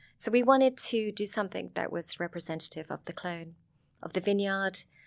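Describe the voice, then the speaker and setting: A woman with a Sussex accent, medium pitch, ordinary pitch variation and a fairly quick pace, in a very clean recording with a silent background. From southern England, Sussex. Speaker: vineyard owner and wine film producer. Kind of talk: casual interview chat.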